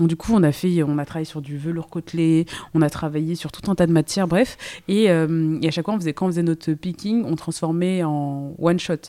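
A woman's dark, mellow, fairly low voice, with fairly even intonation and a fairly quick pace. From Île-de-France, Seine-et-Marne. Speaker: entrepreneur, brand co-founder. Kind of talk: casual interview chat. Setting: in person at her workshop. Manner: hesitant, many fillers.

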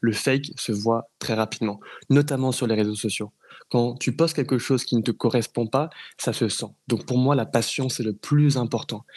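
The speaker has an unremarkable speaking voice, moderate pace and ordinary pitch variation. The background is quiet. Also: man, medium pitch for a man. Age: 20s. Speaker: entrepreneur running a speakers agency. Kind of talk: interview. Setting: studio.

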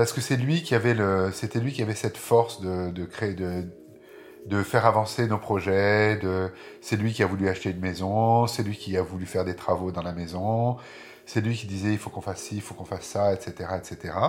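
Music plays in the background as a man speaks at a moderate pace. His pitch is fairly low, with ordinary variation. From southern France (Marseille, Aix-en-Provence, Nice). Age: 50s. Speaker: interviewee telling his life story. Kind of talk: personal testimony. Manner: halting, many hesitations.

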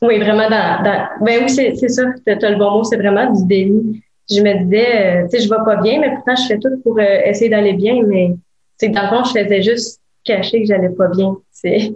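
A woman with a Quebec accent speaks at a moderate pace in a fairly high, somewhat breathy voice, her loudness very even and her intonation fairly even. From Quebec (Gatineau). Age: 20s. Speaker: legal assistant and wellness entrepreneur. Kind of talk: interview testimony.

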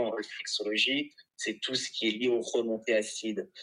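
A man speaks at medium pitch in a bright, sharp tone. His pace is fairly slow. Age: 30s. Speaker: reflexologist. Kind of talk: interview.

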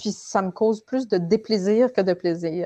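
Against a quiet background, a woman talks at a very slow pace with a medium pitch. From Ontario, Canada (francophone). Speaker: writing workshop facilitator. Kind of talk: interview conversation. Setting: live stream.

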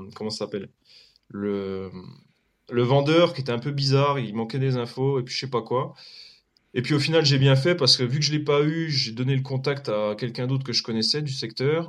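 Over a quiet background, a man of medium pitch talks at a moderate pace with ordinary pitch variation and long, frequent pauses. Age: 30s. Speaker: real estate investor. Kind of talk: casual chat. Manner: halting.

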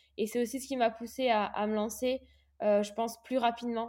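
A woman's fairly high voice at a moderate pace, fairly even in intonation, on a very clean recording with a silent background. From Réunion. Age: 20s. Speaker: professional triathlete. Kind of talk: interview testimony. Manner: halting, frequent repetitions and fillers.

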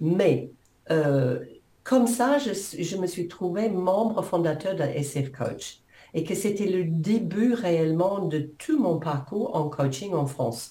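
Spoken at a very slow pace with an English accent, the voice is somewhat breathy and has lively intonation, with audible room echo. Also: woman. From New Zealand. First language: English (speaking French). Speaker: coach and author. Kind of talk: interview.

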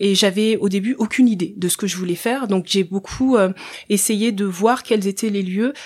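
A woman speaks at a moderate pace in a plain, everyday voice. Her pitch sits in the middle range, with ordinary variation. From Central African Republic, then France from age 8. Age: 30s. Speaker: social entrepreneur, former nurse. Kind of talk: podcast interview.

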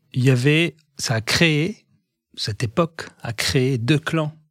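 The recording is very clean, with a silent background. A man at medium pitch sounds somewhat breathy, with ordinary pitch variation. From Egyptian family, raised in Algiers, Algeria. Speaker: pharmaceutical industry executive. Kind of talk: interview testimony. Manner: halting, many repetitions and hesitations.

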